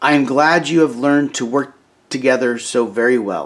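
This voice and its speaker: Putting on a character voice, a man speaks raspily at a medium pitch and a moderate pace, with ordinary pitch variation. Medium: read story. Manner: sweet, gentle.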